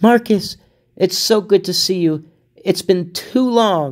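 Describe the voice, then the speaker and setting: A man's put-on character voice, high-pitched and sing-song, at a fairly slow pace on a very clean recording with a silent background. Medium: read story. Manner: warm, friendly.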